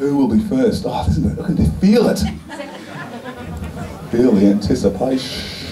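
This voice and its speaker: Music plays behind a man with a medium-pitched voice who talks at a moderate pace, leaving long, frequent pauses. His pitch swings very widely. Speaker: event host. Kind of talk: live event hosting.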